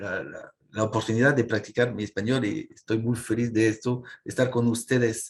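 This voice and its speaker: A man is speaking at medium pitch. His pace is moderate. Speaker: government climate adviser. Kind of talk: panel presentation. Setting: online webinar. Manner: halting, many fillers.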